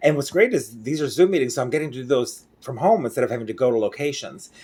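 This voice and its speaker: Fairly high male voice, its pitch moving in an ordinary way. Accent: American. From Mexico, El Bajío region. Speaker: interpreter and vlogger. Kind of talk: casual vlog monologue. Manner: clear pronunciation; casual with fillers.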